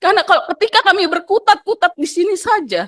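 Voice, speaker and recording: A loud woman with a North Sumatran accent at a moderate pace, the sound dry and close with no echo. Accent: Batak intonation. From Batak, North Sumatra, Indonesia. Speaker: workers' union representative. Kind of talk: public hearing testimony. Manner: loud, emotional.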